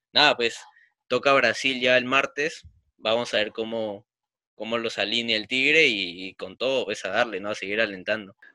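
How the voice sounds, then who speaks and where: A man's medium-pitched voice with a bright, sharp tone, fairly even intonation and a moderate pace, on a very clean recording with a silent background. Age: 20s. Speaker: football podcast co-host. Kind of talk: casual chat.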